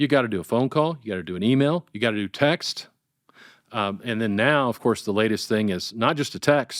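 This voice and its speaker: A man speaks at a medium pitch with ordinary pitch variation and a fairly quick pace, recorded very cleanly against a silent background with a dry, close sound and no echo. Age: 60s. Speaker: nonprofit fundraising consultant. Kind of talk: casual interview. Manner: halting, many fillers.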